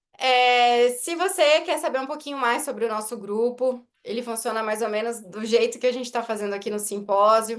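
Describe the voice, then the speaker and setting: Speech at a moderate speed, with pitch varying in an ordinary way. It is a plain, everyday voice. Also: woman. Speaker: orthodontist. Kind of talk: lecture.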